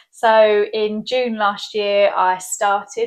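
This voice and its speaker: A woman with a southern English accent speaks at a very slow pace. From southern England. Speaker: skincare clinic owner. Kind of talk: interview. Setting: in her clinic.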